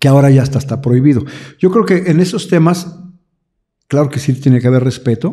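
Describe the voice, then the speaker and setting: This man has a dark, mellow tone and a fairly high pitch, somewhat breathy. He talks at a fairly quick pace with ordinary pitch variation, broken by long, frequent pauses. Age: 60s. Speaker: pastor. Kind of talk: interview. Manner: halting.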